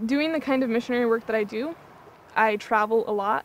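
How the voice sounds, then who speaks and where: Fairly quick speech from a woman with an American accent and a fairly high pitch, in a dry sound with no echo and light background noise. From US Pacific Northwest, Yakima, Washington; Washington. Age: 20s. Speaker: reality show contestant, missionary. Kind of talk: interview. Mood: earnest, heartfelt about faith. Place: waterside. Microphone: lapel.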